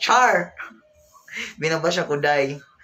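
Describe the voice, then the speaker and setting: A man talks at a fairly slow pace with a fairly high pitch and ordinary pitch variation over noticeable background noise. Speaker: vlogger. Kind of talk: casual livestream chat. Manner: loud.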